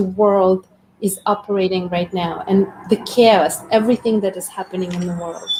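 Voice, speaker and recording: A woman speaks at a fairly slow pace in a somewhat breathy, dark and mellow tone, her intonation fairly even. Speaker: community host. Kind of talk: live stream conversation. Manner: meditative.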